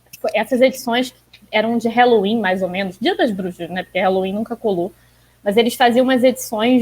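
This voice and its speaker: This woman has a fairly high pitch and ordinary pitch variation. Her voice is somewhat breathy. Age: 20s. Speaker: comic fan guest. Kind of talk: casual chat.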